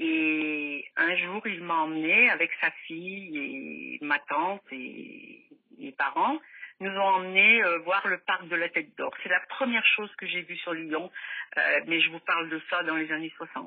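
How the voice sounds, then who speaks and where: A woman speaks at a very slow pace with a fairly low pitch and lively intonation. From France, Loire (Firminy, near Saint-Étienne). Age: 60s. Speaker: mother of a missing son. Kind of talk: testimony.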